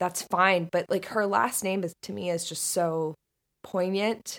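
With an American accent, a plain, everyday voice speaks at a fairly slow pace in a very clean recording with a silent background. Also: woman. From US South, Northern Florida. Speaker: video essayist and podcaster. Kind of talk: casual chat.

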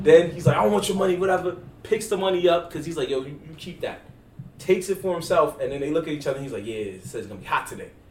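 Talking at a very fast pace, a man with a high pitch uses lively intonation and big swings in loudness over noticeable background noise. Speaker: podcast host. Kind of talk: casual podcast chat. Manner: animated, casual, slangy.

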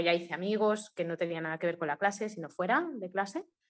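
A woman's unremarkable speaking voice, fairly quick in pace, with ordinary pitch variation. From Mallorca, Spain. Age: 20s. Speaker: blogger and adoptee. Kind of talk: testimony.

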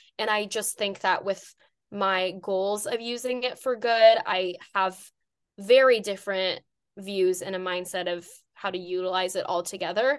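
Over a quiet background, a woman talks at a moderate pace. Her pitch is medium, with ordinary pitch variation. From Los Angeles, California (Iranian-American). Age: 20s. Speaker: mental health advocate and crisis counselor. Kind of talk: interview conversation.

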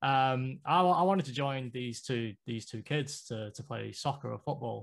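A man with a British accent speaks at a moderate pace and medium pitch in a very clean recording with a silent background. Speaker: graphic designer and former pro gamer. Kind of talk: interview. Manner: halting, many fillers.

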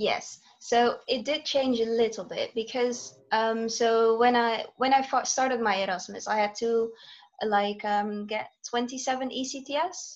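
Against a quiet background, a woman with a Dutch accent speaks at a fairly slow pace, fairly high in pitch and with fairly even intonation. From Netherlands. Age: 20s. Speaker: student teacher. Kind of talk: casual interview. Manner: hesitant, many fillers.

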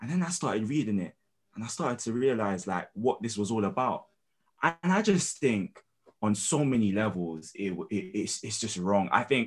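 A man with a London accent, medium pitch, very wide pitch swings, and a moderate pace. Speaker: student and spoken word poet. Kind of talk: casual interview.

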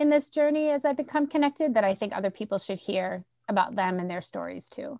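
At a very fast pace, a woman with a slight Boston accent speaks in a dark, mellow tone at a fairly high pitch, with very wide pitch swings. The sound is dry and close with no echo, over a quiet background. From Central Massachusetts. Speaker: school administrator, former principal. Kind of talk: casual interview.

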